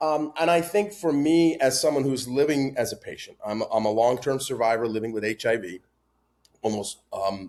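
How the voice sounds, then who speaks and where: With lively intonation, a man speaks at a moderate pace and a medium pitch. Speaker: patient advocate. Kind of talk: podcast interview. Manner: loud.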